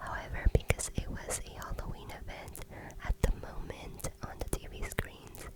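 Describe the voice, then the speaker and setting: Whispered words come at a moderate speed against noticeable background noise. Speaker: ASMR creator. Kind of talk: ASMR vlog voiceover.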